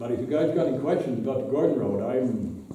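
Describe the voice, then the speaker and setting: The speaker has an American accent and ordinary pitch variation. Audible room echo and noticeable background noise are present. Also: man. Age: 70s. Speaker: local resident speaking at town meeting. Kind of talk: public comment at town board meeting. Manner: halting, repeats words.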